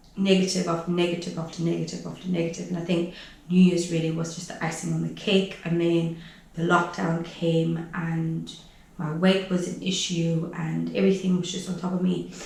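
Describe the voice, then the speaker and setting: With audible room echo, a woman speaks at a fairly low pitch in a monotone, flat intonation. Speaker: online business coach and vlogger. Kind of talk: casual vlog monologue. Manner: fast.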